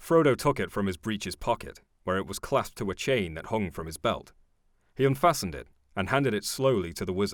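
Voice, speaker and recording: Here a man with an unremarkable speaking voice talks fairly quickly at a fairly low pitch, with lively intonation. The recording is very clean and the background silent. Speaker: voice actor. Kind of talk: audiobook reading.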